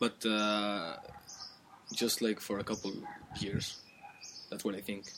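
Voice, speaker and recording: A man speaks at a fairly low pitch with ordinary pitch variation, at a fairly slow pace broken by long, frequent pauses, over noticeable background noise. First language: Spanish or Galician. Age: 20s. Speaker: friend of host. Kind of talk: casual chat. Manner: halting.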